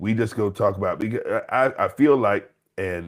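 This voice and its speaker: A man speaks at a fairly quick pace. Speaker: podcast co-host. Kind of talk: casual podcast chat. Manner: loud.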